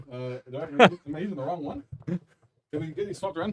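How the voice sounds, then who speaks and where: A man speaks loudly at a very fast pace, his fairly high voice carrying lively intonation. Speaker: stream host. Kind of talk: casual chat.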